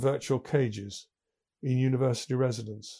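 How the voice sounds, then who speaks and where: A man with an English accent, a dark, mellow tone and medium pitch, speaking at a fairly slow pace with ordinary pitch variation on a very clean recording with a silent background. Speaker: business podcaster. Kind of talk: scripted monologue. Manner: formal.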